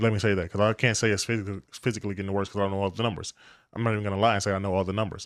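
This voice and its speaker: Delivered at a very fast pace, the voice holds a monotone, flat intonation on a very clean recording with a silent background. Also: man, fairly low pitch for a man. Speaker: reaction video commentator. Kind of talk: casual commentary.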